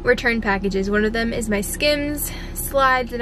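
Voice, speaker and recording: A woman speaks at a high pitch with ordinary pitch variation, her sound dry with no echo, amid noticeable background noise. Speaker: vlogger. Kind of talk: casual vlog chat. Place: car. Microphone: phone near.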